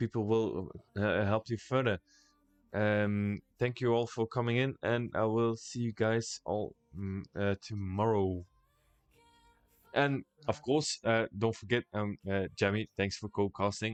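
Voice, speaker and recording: Before a quiet background, a man with a Dutch accent speaks with fairly even intonation. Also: fairly low pitch for a man. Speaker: esports caster. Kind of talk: live esports commentary wrap-up. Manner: halting, many fillers.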